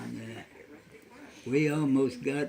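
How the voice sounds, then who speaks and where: A man with a medium-pitched voice speaks in a monotone, flat intonation. Noticeable background noise sits behind him. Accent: American. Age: 80s+. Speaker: World War II navy veteran. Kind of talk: interview answer. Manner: halting, hesitant.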